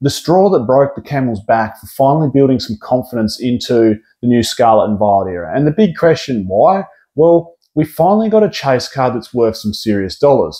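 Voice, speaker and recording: A man with an Australian accent, dark and mellow in tone, at a moderate pace, with very wide pitch swings. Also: medium pitch for a man. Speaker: pokemon card investing youtuber. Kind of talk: casual vlog commentary. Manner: casual, filler-heavy.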